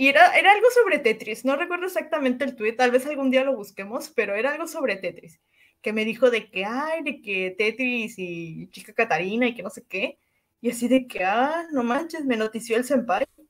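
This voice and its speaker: With lively intonation and a high voice, a woman speaks at a moderate pace. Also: big swings in loudness. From Cancún, Mexico. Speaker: podcast co-host. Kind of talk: casual chat.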